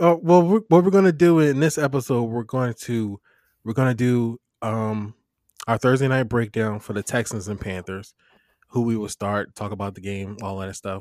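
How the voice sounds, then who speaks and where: Over a very clean recording with a silent background, a man speaks at a moderate pace with medium pitch, lively intonation and a plain, everyday voice. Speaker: fantasy football podcast host. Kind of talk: casual chat. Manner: casual, conversational.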